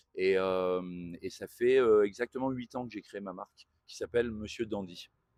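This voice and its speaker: A man's fairly low voice at a fairly slow pace, fairly even in intonation but with big swings in loudness, in a dry, close sound with no echo. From northern France. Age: 40s. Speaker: tailor and entrepreneur. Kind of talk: interview. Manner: hesitant, many fillers.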